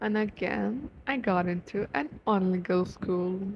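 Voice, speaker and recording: The voice is somewhat breathy. It carries a non-native accent. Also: woman. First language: not English. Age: 18. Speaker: YouTuber. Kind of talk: personal vlog. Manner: animated.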